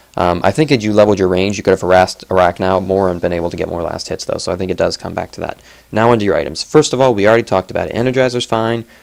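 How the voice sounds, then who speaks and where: This man's pitch is fairly low with ordinary variation. He speaks at a very fast pace. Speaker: gaming video commentator. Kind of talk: replay analysis commentary. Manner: casual, filler-heavy.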